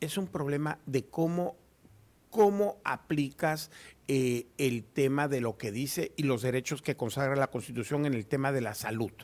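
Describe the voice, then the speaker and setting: At a fairly slow pace, a man uses an ordinary speaking voice, pitched fairly high with ordinary pitch variation. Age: 60s. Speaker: notary and law professor. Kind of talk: radio interview.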